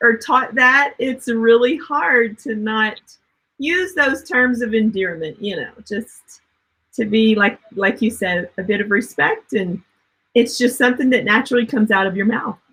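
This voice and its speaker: A woman with a Southern US accent speaks at a fairly slow pace in a high, bright, sharp tone with ordinary pitch variation. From US South. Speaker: webinar co-host. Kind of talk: webinar chat.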